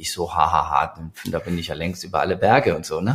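The man's delivery is fairly quick. There is a somewhat breathy quality to his voice. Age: 50s. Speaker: industry 4.0 consultant. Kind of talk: interview. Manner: hesitant with many fillers.

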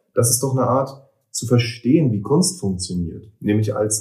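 A man talks at a fairly slow pace, his voice medium in pitch, somewhat breathy and dark, mellow in tone. Room echo is audible. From eastern Germany. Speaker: poet and author. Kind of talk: casual interview conversation. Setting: in person, recorded in Berlin.

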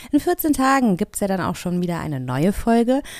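The woman's voice has a dark, mellow tone. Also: very clean recording, silent background. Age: 40s. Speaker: podcast host. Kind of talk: casual chat; scripted narration.

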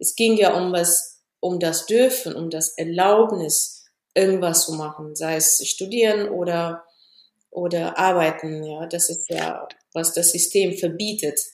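Intonation stays fairly even as a woman speaks at a very slow pace. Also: fairly low pitch for a woman. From Ethiopia. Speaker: engineer. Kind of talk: interview.

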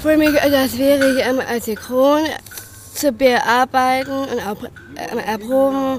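Over noticeable background noise, a woman speaks very slowly at a high pitch, with fairly even intonation and long, frequent pauses. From northern Germany, Bremen. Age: 30s. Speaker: dancer and actress. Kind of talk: interview. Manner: halting.

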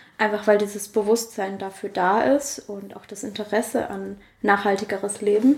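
A woman's medium-pitched voice, a normal speaking voice, with big swings in loudness, a moderate pace and fairly even intonation. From Germany, Karlsruhe. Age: 20s. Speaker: winemaker and yoga teacher. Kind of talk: interview.

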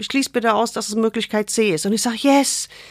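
Heard in a dry, close sound with no echo, a woman speaks at a moderate pace with a fairly high pitch and lively intonation. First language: not German (speaking German). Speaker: gynecologist and author. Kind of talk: casual interview. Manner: informal, colloquial.

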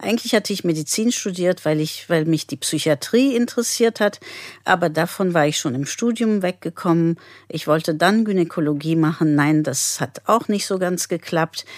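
A woman's fairly low voice with lively intonation at a moderate pace, dry and close with no echo, on a very clean recording with a silent background. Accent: non-native. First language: not German (speaking German). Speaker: pediatrician. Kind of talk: interview.

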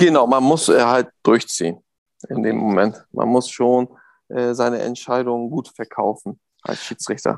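The pace here is moderate. It's an ordinary speaking voice, showing ordinary pitch variation. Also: man, medium pitch for a man. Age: 30s. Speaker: football referee. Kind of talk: interview. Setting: video call.

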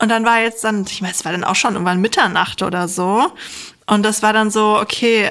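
Fairly high-pitched woman with a plain, everyday voice and ordinary pitch variation. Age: 30s. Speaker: psychologist and science journalist. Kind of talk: casual chat. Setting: video call.

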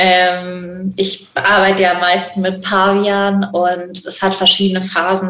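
Noticeable background noise and audible room echo surround a woman speaking in a monotone, flat way. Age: 20s. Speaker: animal welfare worker for monkeys. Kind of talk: casual interview. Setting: video call.

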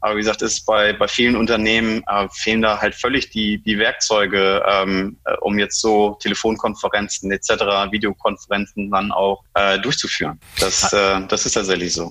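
A man at a moderate pace with monotone, flat intonation. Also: fairly low pitch for a man. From Germany. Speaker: digitalization consultant. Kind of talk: interview. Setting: online call. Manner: halting, many fillers.

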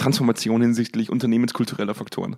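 With a slight Bavarian accent, a man speaks at medium pitch and a very fast pace. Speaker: podcast host and business consultant. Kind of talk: casual chat.

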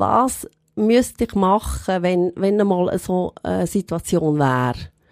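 The speech comes at a very slow pace, with a dry, close sound and no echo. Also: woman. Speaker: goldsmith and shop owner. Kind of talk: personal testimony in interview.

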